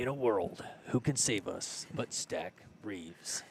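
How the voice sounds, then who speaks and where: Using a put-on character voice, a man speaks at a fairly slow pace. His pitch sits in the medium range. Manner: dramatic, epic.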